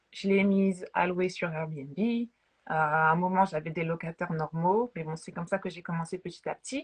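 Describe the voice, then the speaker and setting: A woman's somewhat breathy, fairly low voice at a moderate pace, with ordinary pitch variation and hardly any pauses, over a quiet background. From France, Paris. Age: 30s. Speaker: realtor. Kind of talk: interview.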